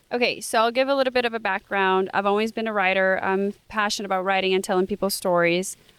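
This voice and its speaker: In a Portuguese accent, a woman speaks at a very fast pace with a medium pitch and fairly even intonation, the sound dry and close with no echo on a very clean recording with a silent background. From Brazil. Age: 20s. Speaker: student podcast host. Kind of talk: casual interview chat.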